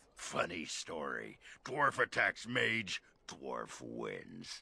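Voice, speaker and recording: In a put-on character voice, a man speaks very slowly with a raspy, very deep, low pitch and very wide pitch swings. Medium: video game. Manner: gruff, crude.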